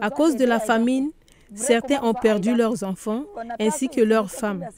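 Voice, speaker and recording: A woman speaks fairly slowly at a fairly high pitch. Her pitch varies in an ordinary way, and there is noticeable background noise. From Central African Republic. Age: 40s. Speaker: displaced refugee returnee, women's group organizer. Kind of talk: testimony.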